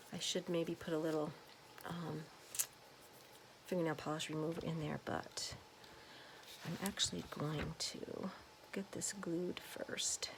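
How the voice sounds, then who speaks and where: Soft-spoken and fairly low-pitched, a woman talks at a fairly slow pace over noticeable background noise. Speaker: crafter, home daycare provider. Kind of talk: craft tutorial. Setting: at home, kids sleeping. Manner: soft-spoken, quiet; casual with many fillers.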